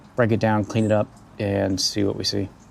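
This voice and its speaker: Soft-spoken and calm in tone, a man talks at a fairly quick pace in a fairly low voice. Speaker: aquarium hobbyist YouTuber. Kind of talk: tutorial.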